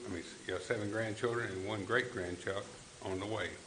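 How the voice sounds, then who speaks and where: A man with a Tennessee accent talks at a fairly quick pace with fairly even intonation. Audible room echo and noticeable background noise fill the recording. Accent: Southern US, West Tennessee. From West Tennessee. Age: 60s. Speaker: political candidate. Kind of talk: candidate forum speech. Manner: halting.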